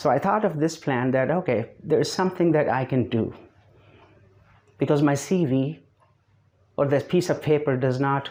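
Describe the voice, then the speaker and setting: With a non-native accent, a man speaks at a moderate pace in a fairly high voice, keeping very even loudness and ordinary pitch variation while taking long, frequent pauses. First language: not English. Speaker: English teacher. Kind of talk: online lesson to camera. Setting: speaking to camera.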